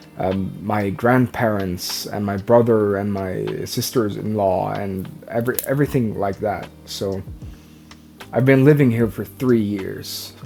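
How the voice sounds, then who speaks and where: At a fairly slow pace, a man with a Norwegian accent speaks in a fairly low pitch with ordinary pitch variation. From Norway. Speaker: vlogger. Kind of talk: personal vlog. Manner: halting.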